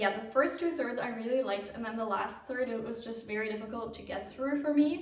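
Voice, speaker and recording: Audible room echo surrounds a woman who speaks at a moderate pace with a fairly high pitch and ordinary pitch variation. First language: not English. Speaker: knitting podcaster. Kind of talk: casual vlog chat.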